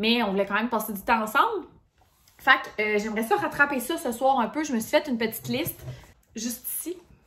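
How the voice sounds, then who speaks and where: A woman's very fast speech in a Quebec accent, fairly high in pitch with ordinary pitch variation. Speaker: lifestyle vlogger. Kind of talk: casual vlog talk to camera. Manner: casual, filler-heavy.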